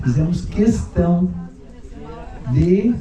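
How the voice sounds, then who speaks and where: Amid noticeable background noise and audible room echo, a man speaks very slowly in a fairly high pitch. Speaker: book author, genealogist. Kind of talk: speech at inauguration ceremony.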